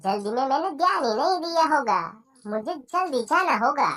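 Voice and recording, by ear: Lines come out at a moderate pace in a cartoonish character voice. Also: female-sounding voice, high pitch for a woman.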